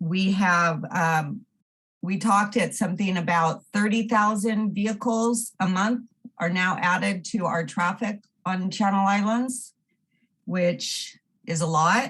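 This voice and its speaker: Her loudness very even, a woman speaks at medium pitch and a fairly slow pace with ordinary pitch variation. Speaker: member of the public giving comment. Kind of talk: public comment at council meeting; reading aloud a prepared statement. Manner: halting, stumbling.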